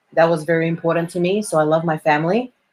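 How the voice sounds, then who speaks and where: Talking at a fairly quick pace, a woman with an Australian accent has a fairly low voice. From Australia, Melbourne. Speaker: performer and actress. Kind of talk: interview conversation. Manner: hesitant, many fillers.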